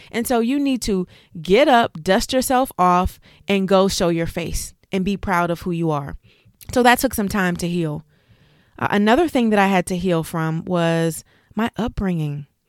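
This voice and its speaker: A woman with a plain, everyday voice speaks at a medium pitch and moderate pace, with lively intonation. The sound is dry and close with no echo, on a very clean recording with a silent background. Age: 40s. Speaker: life coach and podcast host. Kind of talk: motivational monologue.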